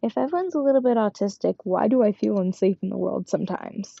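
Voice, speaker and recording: At a fairly quick pace, a woman talks in a medium pitch. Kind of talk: casual monologue while sewing. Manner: quiet, can't speak loud; rambling, sidetracking.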